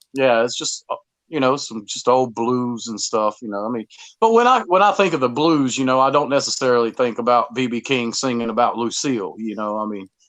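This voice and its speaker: A man speaks with a Southern US accent at medium pitch. His pitch varies in an ordinary way. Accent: Southern drawl. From US South. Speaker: musician. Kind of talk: podcast interview. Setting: studio. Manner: halting, repetitive.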